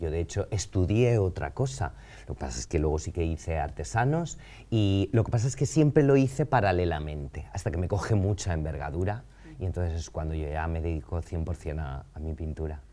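Pitch swings very widely as the speech runs at a fairly quick pace. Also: man, very deep, low pitch for a man. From Valencia, Spain; Spain. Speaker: painter; interview guest. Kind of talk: interview conversation. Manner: halting, many fillers. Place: studio.

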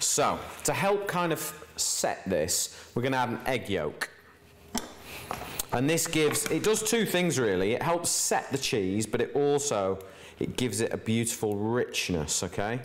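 A man talks at a fairly slow pace. His pitch swings very widely. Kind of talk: cooking tutorial. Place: kitchen.

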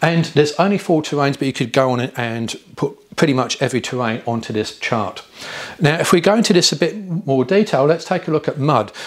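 The background is quiet. A man speaks at a fairly quick pace. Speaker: off-road driving instructor. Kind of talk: lecture. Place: studio. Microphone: lapel.

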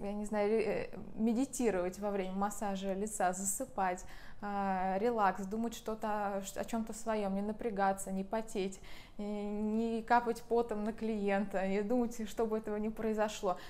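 Fairly slow pace with monotone, flat intonation. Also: woman. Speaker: massage trainer. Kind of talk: tutorial. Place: home room. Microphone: lapel.

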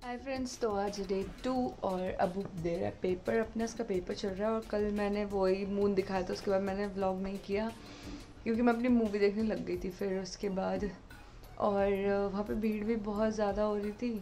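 A woman speaks in a monotone with flat intonation. Faint music sits in the background. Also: moderate pace. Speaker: vlogger. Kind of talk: casual vlog chat. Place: home room. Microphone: phone near.

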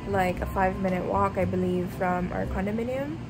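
The speaker goes at a fairly slow pace while music plays clearly in the background. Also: woman. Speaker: vlogger. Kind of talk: casual vlog chat. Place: home room. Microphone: phone near.

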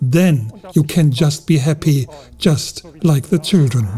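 A man's dark, mellow tone at a fairly slow pace, with ordinary pitch variation. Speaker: travel vlogger. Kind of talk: travel vlog commentary. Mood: impressed, reflective. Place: open country.

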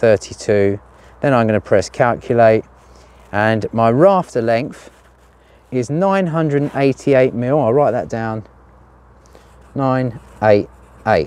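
Pausing long and often, a man speaks at a fairly slow pace with lively intonation. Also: dry sound with no echo. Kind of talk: tutorial. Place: garden. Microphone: phone near.

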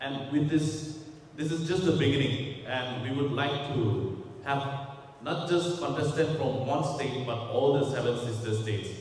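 A man speaks at a fairly high pitch and a fairly slow pace, with fairly even intonation. Strong room echo surrounds his voice. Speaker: fashion brand head. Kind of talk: press conference. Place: hall.

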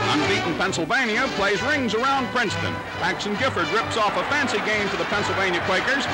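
Loud music plays in the background. The speaker keeps a moderate pace. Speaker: newsreel narrator. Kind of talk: newsreel sports commentary. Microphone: old recording.

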